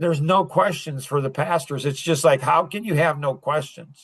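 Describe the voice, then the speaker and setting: A man speaks at a moderate pace in an unremarkable speaking voice, fairly high-pitched, with fairly even intonation. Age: 60s. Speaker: podcast host. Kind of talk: casual chat. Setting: podcast.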